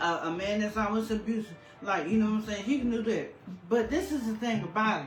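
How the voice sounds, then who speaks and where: A woman's fairly high voice at a fairly quick pace, with noticeable background noise and audible room echo. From North Carolina. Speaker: podcast co-host. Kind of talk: casual chat.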